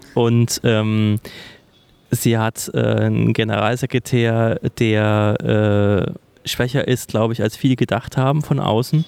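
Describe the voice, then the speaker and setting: Recorded with a dry, close sound and no echo, a man speaks at a very slow pace and medium pitch, keeping fairly even intonation and very even loudness. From Thuringia, Germany. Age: 30s. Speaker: political staffer. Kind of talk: casual interview. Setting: office in parliament building.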